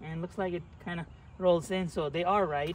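A man at a moderate pace, his pitch fairly high

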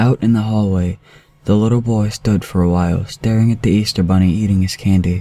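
A passage is being read out loud in a plain way. Nothing more is added to the reading.

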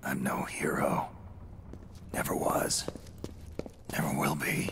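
Whispering in a put-on character voice, the speaker moves at a fairly slow pace. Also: man. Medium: dub.

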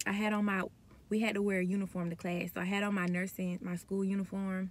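A woman speaks at a moderate pace and sounds somewhat breathy. The sound is dry with no echo. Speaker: nursing student vlogger. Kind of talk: casual vlog chat. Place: car. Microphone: phone near.

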